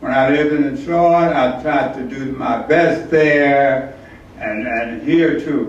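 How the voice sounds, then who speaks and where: The speech moves at a very slow pace with ordinary pitch variation, amid noticeable background noise and audible room echo. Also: man. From US South, Atlanta. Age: 80s+. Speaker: artist. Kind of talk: artist talk. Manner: halting.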